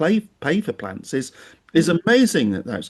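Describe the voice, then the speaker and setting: Against a quiet background, a man's voice swings very widely in pitch and carries vocal fry. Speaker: podcast host. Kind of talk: podcast interview questions. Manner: hesitant, conversational.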